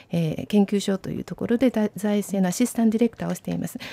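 Her intonation is lively, and her pitch is fairly high. The woman's tone is dark and mellow. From Japan. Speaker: interpreter and training coordinator. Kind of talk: consecutive interpreting. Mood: hesitant, polite. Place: studio. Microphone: studio mic.

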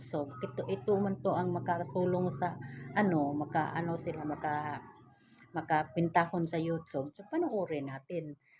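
Fairly low-pitched woman's speech at a moderate pace, ordinary pitch variation and noticeable background noise. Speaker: vlogger. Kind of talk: casual vlog talk to viewers. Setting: indoors at home.

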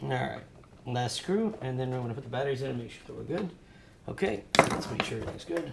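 Loud background noise fills the clip. Over it, a man talks very fast. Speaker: drone shop owner and tech YouTuber. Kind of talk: tutorial. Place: workshop.

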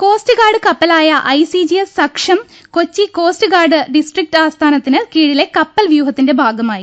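A woman speaks at an extremely high pitch with lively intonation. Her loudness stays very even against a quiet background. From Kerala. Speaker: radio newsreader. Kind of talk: news reading. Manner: formal. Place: studio.

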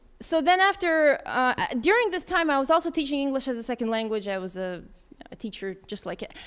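Her voice fairly high, a woman with an American accent talks at a fairly quick pace in a clear, smooth tone with lively intonation.

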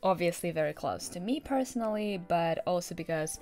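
Faint music plays in the background. The speaker keeps a moderate pace. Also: woman. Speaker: book vlogger. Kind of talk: casual vlog chat. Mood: cheerful, enthusiastic. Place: home room.

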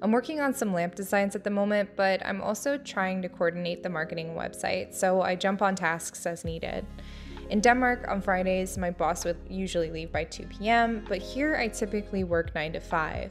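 A woman speaks at a medium pitch with an American accent. Music plays in the background. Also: ordinary pitch variation, moderate pace. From New Jersey. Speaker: architecture student. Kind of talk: casual vlog narration.

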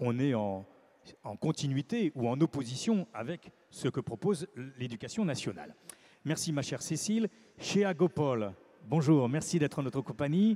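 With lively intonation, a man speaks at a medium pitch in a dark, mellow tone that carries a slightly husky edge.

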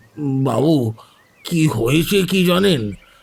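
A man does a put-on character voice with a fairly high pitch. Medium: read story. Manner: deferential, addresses customer as sir.

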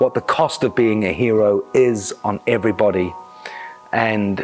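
A man's voice with ordinary pitch variation and faint music in the background. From New Zealand. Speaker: actor. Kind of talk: interview answer. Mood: enthusiastic, expressive. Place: studio. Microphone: lapel.

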